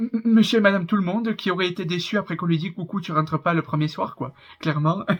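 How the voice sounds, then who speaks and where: A man with a high-pitched voice speaks in a strong southern French accent. His pace is very fast, with ordinary pitch variation. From southern France. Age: 20s. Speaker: YouTuber reacting to reality TV. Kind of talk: casual vlog commentary. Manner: hesitant, many fillers.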